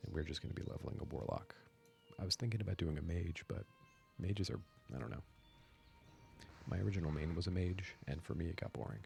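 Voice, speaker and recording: Soft-spoken and whispering over music in the background, a man speaks very fast yet leaves long, frequent pauses. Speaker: gaming ASMR streamer. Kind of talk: casual talk to camera, gameplay commentary. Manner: soft-spoken, relaxed, whispery.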